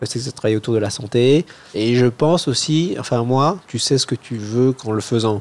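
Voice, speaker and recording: At a moderate pace, a man with a medium-pitched voice speaks with ordinary pitch variation. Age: 30s. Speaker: infectious disease doctor and researcher. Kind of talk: casual chat. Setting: at a friend's home over a beer. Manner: halting, many hesitations.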